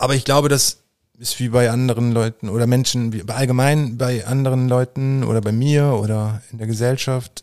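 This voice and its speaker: A man's medium-pitched voice at a moderate pace, monotone with flat intonation. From rural Germany, grew up on a farm. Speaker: painter. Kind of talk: casual interview.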